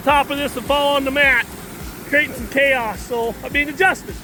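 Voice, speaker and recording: Raising and projecting his voice, a man talks at a very fast pace and an extremely high pitch over noticeable background noise. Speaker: gold prospecting equipment demonstrator. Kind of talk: outdoor equipment demonstration. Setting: outdoors at a dig site. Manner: loud, speaking over pump; casual, joking.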